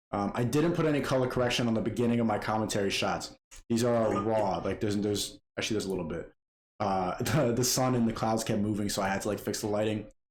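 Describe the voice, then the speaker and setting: Very fast speech comes from a man of medium pitch with ordinary pitch variation. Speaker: video editor / YouTuber. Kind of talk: tutorial. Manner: casual, fast-paced; loud.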